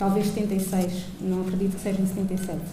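A woman is speaking with light background noise. Room echo is audible. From Angola. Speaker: audience member. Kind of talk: audience remarks. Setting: stage with audience. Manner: halting. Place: hall. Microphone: handheld.

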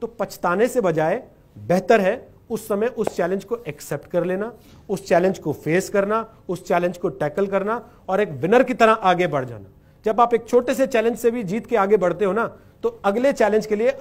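A man is talking here, his pitch high. His pace stays moderate. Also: ordinary pitch variation. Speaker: speaker. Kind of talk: motivational talk. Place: stage.

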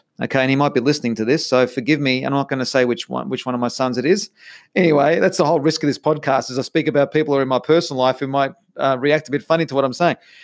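Speaking very fast in an Australian accent, a man sounds animated at a fairly high pitch in a very clean recording with a silent background. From Australia, Melbourne. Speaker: podcast host, life coach. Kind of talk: solo podcast monologue.

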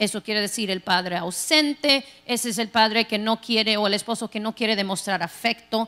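A fairly quick pace with hardly any pauses and ordinary pitch variation. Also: woman, fairly high pitch for a woman. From Texas. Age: 40s. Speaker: pastor. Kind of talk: sermon. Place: church. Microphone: handheld.

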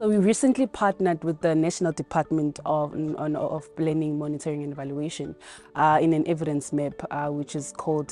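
A woman talks at a very fast pace with a very deep, low pitch and fairly even intonation, in a dry sound with no echo and faint music in the background. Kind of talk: interview answer. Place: garden.

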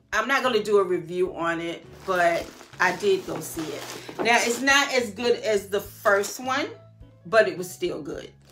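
Faint music plays in the background as a woman speaks at a fairly slow pace. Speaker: style vlogger. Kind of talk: casual vlog chat. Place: home room. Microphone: phone near.

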